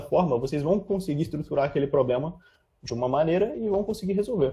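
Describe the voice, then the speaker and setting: A man with a dark, mellow tone speaks at a fairly quick pace, his fairly high pitch moving in lively intonation. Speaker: programming instructor. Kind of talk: lecture. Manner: fast; animated.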